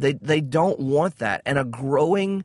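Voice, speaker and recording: A man with a Southern US accent, fairly high-pitched, at a moderate pace. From US South. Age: 40s. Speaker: podcast host. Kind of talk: religious commentary monologue. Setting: in a car. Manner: frequent filler words.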